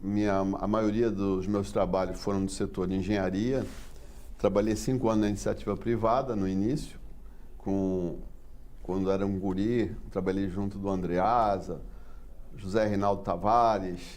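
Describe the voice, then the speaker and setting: Fairly low male voice at a fairly slow pace, monotone and flat in intonation, with audible room echo. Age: 60s. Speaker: port engineering consultant. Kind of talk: interview. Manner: halting.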